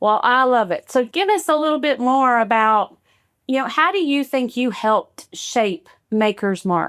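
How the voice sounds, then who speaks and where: On a very clean recording with a silent background, a high-pitched woman with a Kentucky accent talks fairly slowly with very wide pitch swings and very even loudness. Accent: Kentucky Southern US. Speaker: podcast host. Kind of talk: podcast interview.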